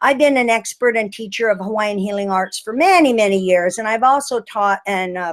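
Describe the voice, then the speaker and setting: With a plain, everyday voice, a woman speaks at a moderate pace, her fairly high pitch carried by lively intonation. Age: 60s. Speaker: healing arts teacher and retreat leader. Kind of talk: webinar presentation. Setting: online webinar.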